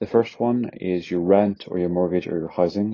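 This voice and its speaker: Fairly quick delivery in a Northern Irish accent, with fairly even intonation. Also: man. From Northern Ireland. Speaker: finance content creator. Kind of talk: educational explainer monologue. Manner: casual, conversational.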